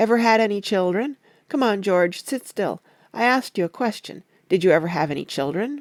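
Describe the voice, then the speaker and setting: This is a raspy, put-on character voice at a fairly quick pace. The recording is very clean with a silent background. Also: female-sounding voice, medium pitch for a woman. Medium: read story. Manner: patient, coaxing.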